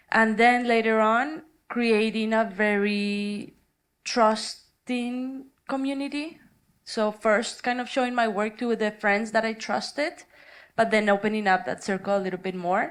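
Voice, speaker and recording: A woman with a Spanish accent and a fairly high pitch, speaking at a fairly slow pace with ordinary pitch variation, on a very clean recording with a silent background. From Colombia. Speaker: artist. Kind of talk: panel discussion.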